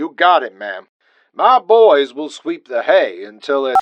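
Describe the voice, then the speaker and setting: A put-on character voice from a man, moderate in pace and high in pitch. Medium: read story. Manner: folksy.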